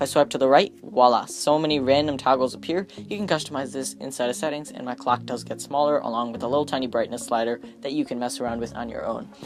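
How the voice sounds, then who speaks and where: A very fast pace with hardly any pauses, over noticeable background noise. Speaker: tech YouTuber reviewing phone tweaks. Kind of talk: screen-recorded tutorial. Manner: casual and chatty.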